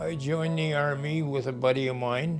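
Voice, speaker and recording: Music plays in the background as a man talks at a fairly high pitch. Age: 80s+. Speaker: war veteran. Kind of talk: interview answer.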